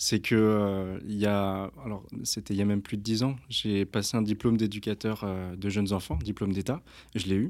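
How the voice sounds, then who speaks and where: A man at a moderate pace, fairly even intonation, very clean recording with a silent background. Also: fairly low pitch for a man. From France, Versailles area. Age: 30s. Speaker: rugby coach and humanitarian association founder. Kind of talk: casual interview. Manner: halting, many hesitations.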